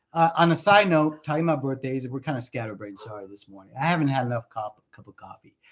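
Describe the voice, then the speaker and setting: A man with a Spanish accent, medium pitch, lively intonation and big swings in loudness, at a very fast pace with hardly any pauses. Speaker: relationship coach. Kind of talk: casual chat.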